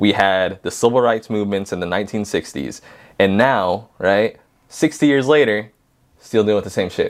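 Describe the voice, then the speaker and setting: On a very clean recording with a silent background, a man with an American accent and an unremarkable speaking voice talks at a moderate pace, fairly low in pitch, with ordinary pitch variation. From southern California. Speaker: podcast guest, father. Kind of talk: casual conversation.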